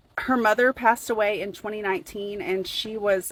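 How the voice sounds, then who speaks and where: At a fairly quick pace, a woman talks in a Southern US accent. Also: dry, close sound with no echo. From US South. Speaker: true crime commentator. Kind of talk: casual commentary video.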